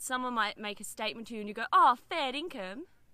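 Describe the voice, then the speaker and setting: A woman with an Australian accent speaks at a high pitch and a fairly quick pace, with lively intonation. Her tone is bright and sharp, and the sound is dry with no echo. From Canberra, Australia. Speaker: video guest teaching slang. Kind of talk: casual vlog chat. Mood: playful, laughing. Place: open country.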